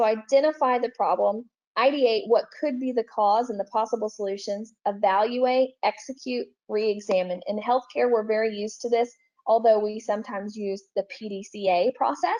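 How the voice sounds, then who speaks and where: The voice has a dark, mellow tone with ordinary pitch variation. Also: woman, fairly high pitch for a woman. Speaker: software trainer. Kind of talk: webinar presentation. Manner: fast.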